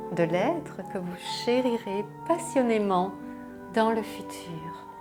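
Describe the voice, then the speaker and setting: Music sounds behind a woman who talks at a very slow pace. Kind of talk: intro and commentary to camera. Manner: soft-spoken, tender.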